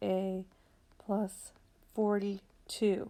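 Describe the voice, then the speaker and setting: This woman's voice has a dark, mellow tone. Her pitch is medium. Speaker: math teacher. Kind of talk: tutorial.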